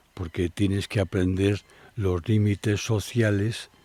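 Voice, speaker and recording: A man's voice sounds dark, mellow and somewhat breathy. The recording is dry and close with no echo, very clean, and the background is silent. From Spain, Madrid. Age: 70s. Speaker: traveler and adventurer. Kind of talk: interview, life story.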